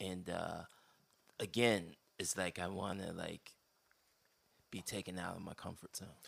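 A man's very deep, low voice with an American accent, monotone and flat, at a fairly slow pace with long, frequent pauses. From Philadelphia (Mount Airy). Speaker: electronic musician and artist. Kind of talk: casual interview chat. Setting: Airbnb in Los Angeles.

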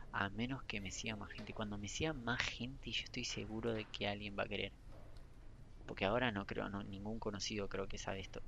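A man's fairly quick speech comes with audible room echo. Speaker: podcaster and gaming news creator. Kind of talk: casual solo chat. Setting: library, then a bar. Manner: halting, self-correcting. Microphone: poor recording setup, problems with audio.

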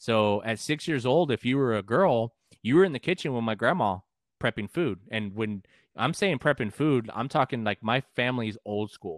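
On a very clean recording with a silent background and a dry, close sound with no echo, a man talks at a moderate pace in a plain, everyday voice of medium pitch, with lively intonation and an American accent. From San Antonio, Texas. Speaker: musician and podcaster. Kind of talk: casual interview chat.

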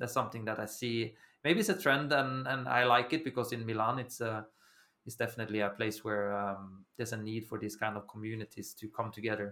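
In a Norwegian accent, a man with a bright, sharp tone and medium pitch speaks at a fairly quick pace with fairly even intonation. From Norway. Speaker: recruitment agency founder. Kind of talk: interview. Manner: halting.

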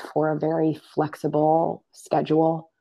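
With an American accent, a woman speaks in a very deep, low voice. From US Mid-Atlantic, Maryland suburbs of Washington, D.C. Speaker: life and leadership coach. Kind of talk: interview.

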